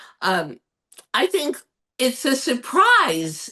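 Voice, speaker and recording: A woman's raised, projected voice, high-pitched, bright and sharp, animated in tone, with very wide pitch swings. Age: 70s. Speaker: fashion entrepreneur. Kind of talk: interview conversation.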